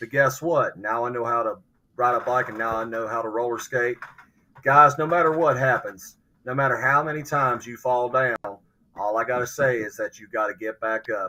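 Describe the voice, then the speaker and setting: The tone is bright and sharp, with an Appalachian accent. Intonation stays fairly even. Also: man, medium pitch for a man, moderate pace, big swings in loudness. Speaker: podcast panelist. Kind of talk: casual chat.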